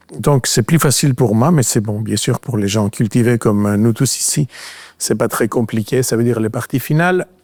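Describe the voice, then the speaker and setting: With a Greek accent, a man speaks at a moderate pace. He shows ordinary pitch variation. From Greece. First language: Greek (speaking French). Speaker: physician and researcher. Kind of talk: lecture. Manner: halting, many fillers.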